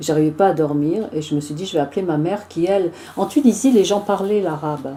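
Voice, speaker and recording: Here is a woman with a fairly low pitch and ordinary pitch variation. She talks at a fairly quick pace in an unremarkable speaking voice. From Tunisia. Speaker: singer. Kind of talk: interview, personal anecdotes. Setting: joint TV and radio studio recording.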